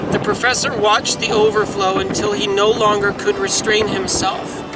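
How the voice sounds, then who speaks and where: Clear music plays in the background behind a dry sound with no echo. A man talks at a fairly slow pace. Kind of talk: reading a story aloud. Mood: calm, storytelling. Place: boat. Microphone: phone near.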